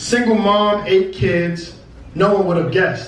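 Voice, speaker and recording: Over noticeable background noise, a man with an American accent and a high pitch speaks at a fairly slow pace. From Brooklyn, New York. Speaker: spoken word poet. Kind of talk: spoken word poetry performance. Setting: live venue.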